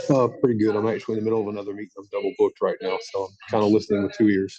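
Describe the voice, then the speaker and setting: A man with an American accent talks at a very fast pace. His loudness swings widely, and background noise is noticeable. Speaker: county emergency manager. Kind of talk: conference call Q&A. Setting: conference call while in another meeting.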